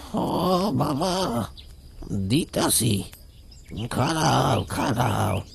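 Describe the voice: A man performs a cartoonish character voice at a medium pitch. Light background noise can be heard.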